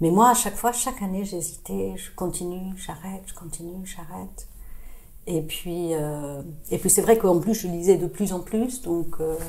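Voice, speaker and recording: Fairly low-pitched with a dark, mellow tone, a woman speaks fairly slowly with ordinary pitch variation and big swings in loudness, while room echo is audible. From international childhood, born in Boston, then England, France from age 13. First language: not French (speaking French). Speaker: radiologist and short-story writer. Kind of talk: podcast interview. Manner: hesitant, many fillers and repetitions.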